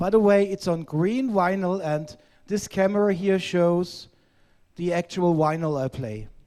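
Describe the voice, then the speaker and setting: A man with a German accent speaks at a very slow pace in a high pitch. His pitch variation is ordinary. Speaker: vinyl collector guest. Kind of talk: live-streamed casual chat. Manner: halting.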